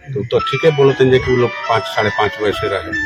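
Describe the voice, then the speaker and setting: There is noticeable background noise as a man talks in a medium pitch. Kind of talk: news podcast talk. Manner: earnest, concerned.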